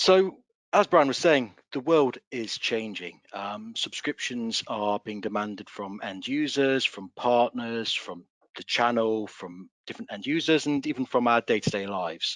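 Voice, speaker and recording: At a fairly slow pace, a man with an English accent speaks in a medium pitch, with lively intonation and big swings in loudness, in a dry, close sound with no echo. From England. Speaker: solutions consultant. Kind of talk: webinar presentation.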